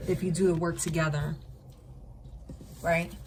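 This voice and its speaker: There is audible room echo around a woman speaking at a fairly low pitch. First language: not English. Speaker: tarot reader. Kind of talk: live tarot reading. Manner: animated; sometimes tongue-tied.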